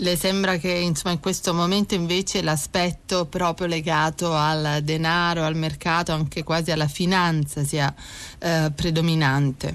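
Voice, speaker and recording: A woman speaks at a fairly slow pace with a fairly low pitch, her intonation monotone and flat and her loudness very even. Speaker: radio host. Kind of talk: interview. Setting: studio. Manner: hesitant with fillers.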